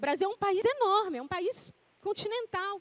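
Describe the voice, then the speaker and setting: A woman's extremely high pitch at a moderate pace, the sound dry and close with no echo. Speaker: preacher. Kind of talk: sermon.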